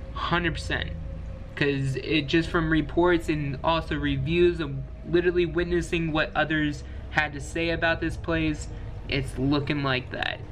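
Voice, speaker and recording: A man talks at a moderate pace, with light noise in the background. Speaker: video creator. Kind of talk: casual vlog chat. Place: home room. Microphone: webcam.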